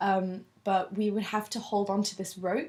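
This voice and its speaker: With a southern English accent, a woman talks at a medium pitch against noticeable background noise. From London, England. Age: 20s. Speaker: university student. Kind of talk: interview.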